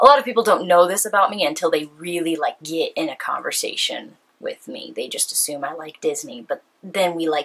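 The speaker has an American accent and a moderate pace. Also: woman. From California. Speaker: YouTuber. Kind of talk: casual vlog monologue. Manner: animated. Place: home room.

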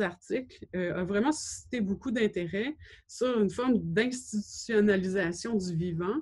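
Fairly slow speech from a woman, with ordinary pitch variation and a quiet background. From Quebec, Gaspésie; Quebec. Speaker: gallery director and curator, doctoral student. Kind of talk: lecture. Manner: halting, many hesitations. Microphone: webcam.

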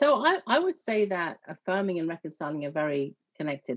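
A woman talks at a very fast pace against a quiet background, the sound dry with no echo. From southeast England. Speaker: church network organizer; guest. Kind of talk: interview conversation. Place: home room. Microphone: video call.

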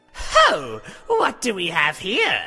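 A man's cackling, put-on character voice. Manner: cackling, predatory, gloating.

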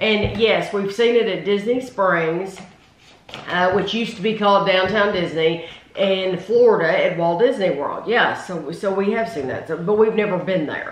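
The room echo is audible. A woman speaks with ordinary pitch variation. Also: moderate pace. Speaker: food review host. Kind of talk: casual taste-test chat. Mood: light, amused. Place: home room. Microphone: camera far.

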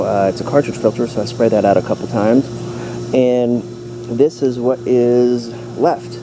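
The intonation of this man's voice is fairly even, at a moderate pace. Noticeable background noise can be heard. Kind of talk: tutorial. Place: garden. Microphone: phone near.

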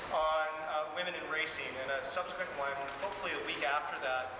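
Speech at a fairly quick pace amid noticeable background noise and audible room echo. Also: man. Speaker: host, university teacher. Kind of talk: event introduction. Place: hall.

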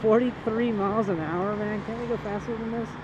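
The sound is dry with no echo, and noticeable background noise runs underneath. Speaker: motorcycle rider reviewer. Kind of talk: casual riding commentary. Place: motorbike.

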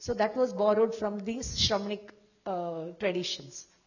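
A woman speaks at a medium pitch, with audible room echo around her voice. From Rajasthan, India. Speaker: professor of Jain studies. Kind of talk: conference lecture.

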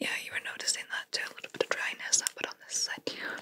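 A woman whispering at a fairly quick pace. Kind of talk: soft-spoken role-play. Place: home room.

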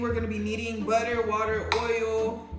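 A woman speaks over noticeable background noise. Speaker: couple channel host. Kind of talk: casual vlog chat. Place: kitchen. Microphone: camera far.

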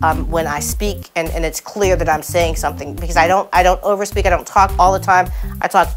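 A woman speaks while music plays clearly in the background. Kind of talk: interview answer. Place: studio. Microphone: lapel.

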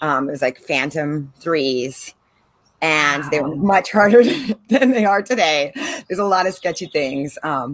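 A woman with an American accent speaks at a fairly slow pace, her pitch very deep and low. Her intonation is lively, and the sound is dry with no echo. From San Diego, California; California. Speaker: marine biologist and drone instructor; drone instructor. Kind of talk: casual interview chat. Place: garden. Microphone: video call.

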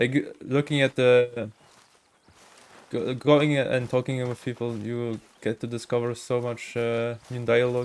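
Speaking with a non-native accent, a man talks fairly slowly at a medium pitch in a flat, monotone way. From Germany. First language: not English. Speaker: gaming streamer. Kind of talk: casual live-stream commentary. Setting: live stream. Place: home room.

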